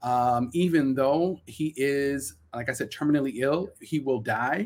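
A man speaks in a Brooklyn accent. His pitch moves with ordinary variation. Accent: Brooklyn New York. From Brooklyn, New York. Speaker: community organizer and educator. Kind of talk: interview.

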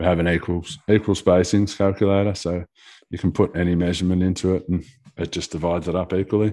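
In a very clean recording with a silent background, a man with an Australian accent talks at a very fast pace in a very deep, low, monotone voice with flat intonation. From Australia (Geelong, Victoria). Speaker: carpenter and app developer. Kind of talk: casual chat.

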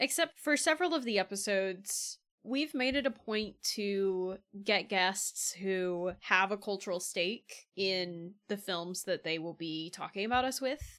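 A woman with an American accent speaks in an ordinary speaking voice at medium pitch and a fairly slow pace. Her intonation is lively, and the recording is very clean with a silent background. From Central Florida, US. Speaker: podcast co-host. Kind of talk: casual chat.

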